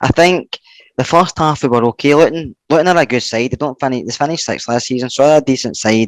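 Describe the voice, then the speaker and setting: A man with a Scottish accent speaks at a very fast pace, at medium pitch and with ordinary pitch variation. The sound is dry and close, with no echo. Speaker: football podcast panelist. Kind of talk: casual chat. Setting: at home on a settee.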